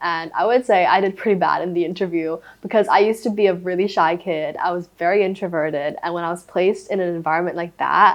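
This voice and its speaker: A woman talks at a very fast pace. She has a Thai accent. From Thailand. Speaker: former boarding school student. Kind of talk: casual interview chat.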